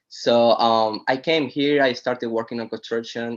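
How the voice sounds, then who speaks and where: At a fairly slow pace, a man with a Spanish accent talks at medium pitch against a quiet background. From Venezuela. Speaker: boat detailer. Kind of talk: casual interview.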